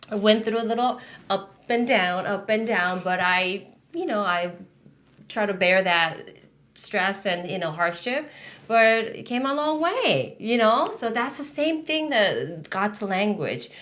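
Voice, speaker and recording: There is audible room echo as a woman speaks at a fairly slow pace in a Korean accent. Her pitch is fairly high and her intonation lively. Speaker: podcast host. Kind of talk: casual chat. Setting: studio. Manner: halting.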